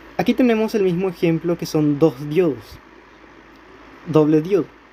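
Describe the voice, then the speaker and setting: A man speaks fairly quickly. Noticeable noise is audible behind him. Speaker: electronics tutorial youtuber. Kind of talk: tutorial. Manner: halting, self-correcting.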